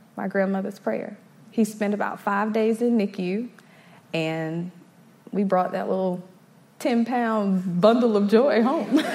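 A woman at a fairly slow pace, with long, frequent pauses and noticeable background noise. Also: medium pitch for a woman, ordinary pitch variation. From South Carolina (Eastover), moved from Brooklyn as toddler. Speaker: church youth ministry volunteer. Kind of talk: testimony. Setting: stage with audience.

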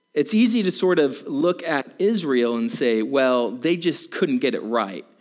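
In an American accent, a man with fairly high pitch makes very wide pitch swings. His pace is very slow. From Germany (American family abroad). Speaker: guest preacher. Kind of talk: sermon. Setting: church.

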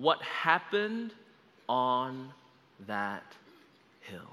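A man with a medium pitch speaks with very wide pitch swings. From Australia, Melbourne. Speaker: guest preacher. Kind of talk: sermon. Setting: church service, livestreamed.

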